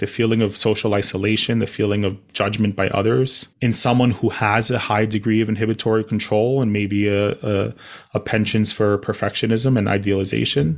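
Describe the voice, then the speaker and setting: On a very clean recording with a silent background, a man in a normal speaking voice talks at a moderate pace, fairly low in pitch and fairly even in intonation. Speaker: psychiatrist podcast host. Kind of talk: educational explainer conversation.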